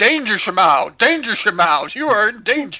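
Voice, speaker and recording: A put-on character voice with a fairly high pitch swings very widely in pitch at a moderate pace. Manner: warning, alarmed.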